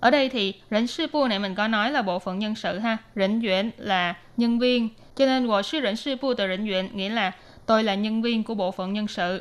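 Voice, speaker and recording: A woman speaks at a fairly quick pace with fairly high pitch. Her pitch variation is ordinary, and she has an ordinary speaking voice. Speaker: language teacher. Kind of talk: language lesson.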